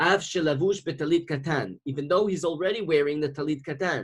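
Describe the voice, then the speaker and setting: A man speaks fairly quickly in a fairly high voice with ordinary pitch variation. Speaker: religious teacher. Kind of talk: lecture. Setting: video call. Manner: fast.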